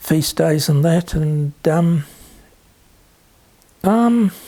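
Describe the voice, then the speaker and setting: A New Zealand accent is heard. It comes from a man. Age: 70s. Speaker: interviewee, son of Polish immigrants. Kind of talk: oral history interview. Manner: halting, many fillers and repetitions.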